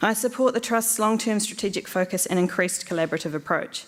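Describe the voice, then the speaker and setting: A woman with a New Zealand accent talks at a very fast pace with ordinary pitch variation. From New Zealand, Hamilton. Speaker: election candidate, commercial lawyer. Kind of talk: candidate speech.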